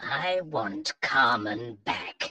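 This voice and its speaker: A man's put-on character voice with very wide pitch swings. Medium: read story. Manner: commanding.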